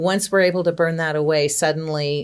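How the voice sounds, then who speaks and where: At a moderate pace, a woman speaks at a very deep, low pitch. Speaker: executive coach. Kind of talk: interview. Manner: loud.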